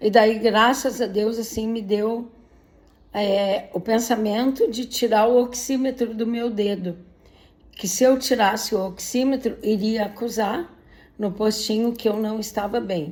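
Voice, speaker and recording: A woman with an ordinary speaking voice keeps a fairly slow pace and fairly even intonation. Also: fairly high pitch for a woman. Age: 60s. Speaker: patient sharing illness story. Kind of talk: personal testimony. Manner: emotional.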